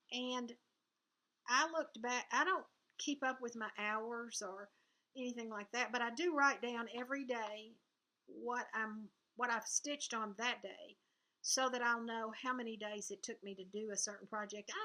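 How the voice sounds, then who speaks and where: A woman talks with a Southern US accent at a fairly high pitch. Her pace is moderate and her intonation fairly even. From US South. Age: 70s. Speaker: cross-stitch video blogger. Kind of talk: casual vlog chat.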